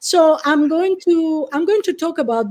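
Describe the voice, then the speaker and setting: A woman speaks in an Italian accent at a fairly slow pace. Her tone is dark and mellow. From Italy. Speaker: professor. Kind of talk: lecture.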